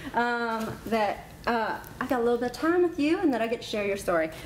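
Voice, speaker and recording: In a Southern US accent, a woman talks at a fairly quick pace with a high pitch and lively intonation, over noticeable background noise. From US South, South Carolina. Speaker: talk show host. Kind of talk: interview. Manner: animated.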